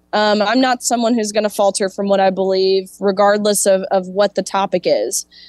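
A woman speaks at a moderate pace, her pitch in the middle of a woman's range. Her voice is unremarkable, recorded dry and close with no echo. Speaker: former college swimmer and activist. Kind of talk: interview.

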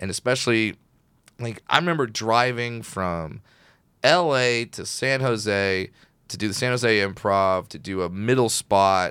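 A man with a fairly low pitch and a bright, sharp tone speaks at a fairly slow pace. His pitch varies in an ordinary way on a very clean recording with a silent background. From Orange County, California. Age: 30s. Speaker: stand-up comedian. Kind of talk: casual chat.

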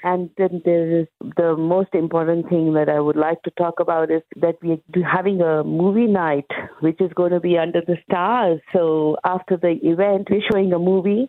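It's an unremarkable speaking voice, a woman's, fairly low in pitch with fairly even intonation. She keeps a moderate pace at very even loudness. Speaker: market organiser. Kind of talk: radio interview.

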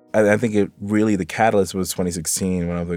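On a very clean recording with a silent background, a man with an American accent speaks in a dark, mellow tone with monotone, flat intonation. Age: 30s. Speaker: Olympic fencer. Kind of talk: interview.

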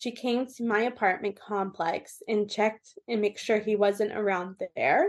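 A woman with a Californian accent speaks at a fairly slow pace, her pitch varying in an ordinary way. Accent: Californian American English. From US West Coast, Orange County, California. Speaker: abuse survivor and advocate. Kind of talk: interview.

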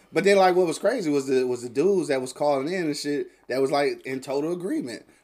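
This man's voice sits at a fairly high pitch with ordinary pitch variation. He moves at a fairly quick pace. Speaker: internet radio host. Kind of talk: casual chat. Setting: studio. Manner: animated.

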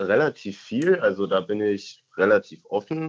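Words come from a man at a very slow pace. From Berlin. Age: 20s. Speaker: caller, federal police officer. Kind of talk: casual chat. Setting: phone call.

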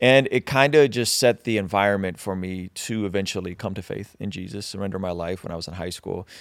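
With hardly any pauses, a man talks at a fairly quick pace at a fairly low pitch with ordinary pitch variation in a plain, everyday voice, on a very clean recording with a silent background. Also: big swings in loudness. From Azerbaijan (Baku), raised in US. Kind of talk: interview conversation.

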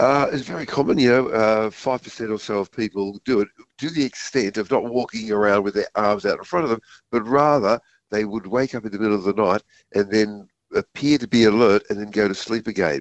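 An Australian man at a fairly quick pace, with ordinary pitch variation. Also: medium pitch for a man. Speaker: science communicator. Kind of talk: radio interview.

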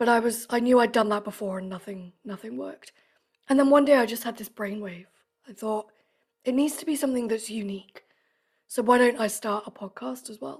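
A woman talks at a fairly quick pace in a fairly high, somewhat breathy voice, with ordinary pitch variation and big swings in loudness. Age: 30s. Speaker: podcast guest, creative. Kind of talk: casual interview chat.

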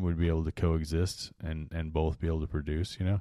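Here a man speaks with a dark, mellow tone. The background is quiet. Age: 30s. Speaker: fantasy football podcast co-host. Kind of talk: casual chat.

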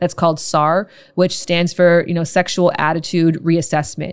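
A woman with a Canadian accent and a normal speaking voice talks at a moderate pace in a fairly low pitch, on a very clean recording with a silent background. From Canada, Toronto. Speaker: sex and intimacy educator. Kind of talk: casual interview chat.

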